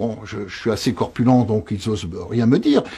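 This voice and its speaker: The pace is fairly slow. A man speaks at a medium pitch. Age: 60s. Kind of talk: interview. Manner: halting, repetitive.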